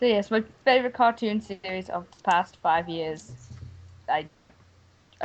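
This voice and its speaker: A woman talks with ordinary pitch variation. Her pace is moderate. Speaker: podcast guest. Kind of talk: casual chat. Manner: soft-spoken. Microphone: too quiet.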